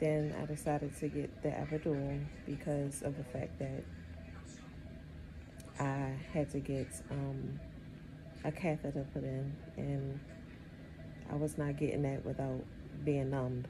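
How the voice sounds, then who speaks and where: The tone is weary, with long, frequent pauses and fairly even intonation over music in the background. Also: woman. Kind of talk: casual vlog chat. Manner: slow, weary, low-energy talk from bed. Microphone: phone near.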